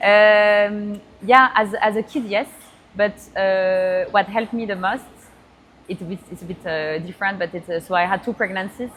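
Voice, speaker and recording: At a moderate pace, a woman speaks with a French accent and fairly even intonation. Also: medium pitch for a woman. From France. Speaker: AI entrepreneur. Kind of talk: interview. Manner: halting.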